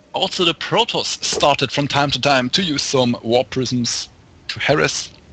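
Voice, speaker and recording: With a German accent, the speaker talks at a fairly slow pace in a dry, close sound with no echo, amid noticeable background noise. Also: man. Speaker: esports commentator. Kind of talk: live commentary. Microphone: too quiet after touching mic.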